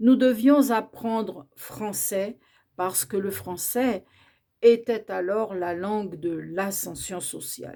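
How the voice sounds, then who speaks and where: Very slow and dark, mellow in tone, a woman speaks with ordinary pitch variation. Her loudness swings widely. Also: medium pitch for a woman. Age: 60s. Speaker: educator on Creole language. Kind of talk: educational talk.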